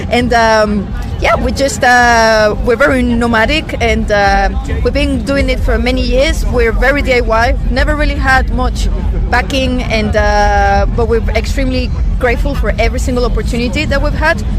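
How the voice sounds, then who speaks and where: This speaker has a Venezuelan accent and a moderate pace. Background noise is noticeable. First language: Spanish. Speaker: rock musician. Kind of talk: interview. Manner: halting, many fillers.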